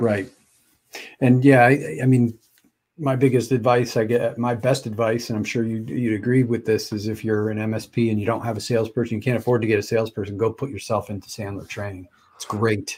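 At a fairly quick pace, a man speaks in a medium pitch, somewhat breathy, with fairly even intonation. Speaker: podcast and live stream host. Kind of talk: casual interview chat. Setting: live video stream. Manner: casual, stumbling.

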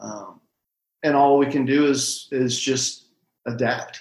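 A man is speaking. He has a Midwestern US accent. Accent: US Midwest. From Missouri, small town. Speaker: shop owner, entrepreneur. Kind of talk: interview conversation.

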